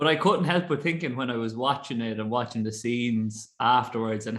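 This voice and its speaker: Against a quiet background, a man speaks at a moderate pace in an Irish Midlands accent. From Ireland, Roscrea, County Tipperary. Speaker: podcast host. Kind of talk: casual chat.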